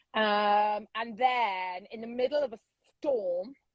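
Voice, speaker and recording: The speaker is a woman with a British accent. She talks at a fairly high pitch. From England. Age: 50s. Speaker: social media influencer. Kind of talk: casual interview chat. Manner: loud.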